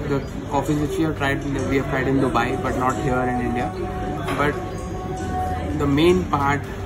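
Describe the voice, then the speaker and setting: A man talks at a fairly slow pace over loud music in the background. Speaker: food vlogger. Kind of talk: casual vlog chat. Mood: excited, delighted. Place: cafe. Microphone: phone near.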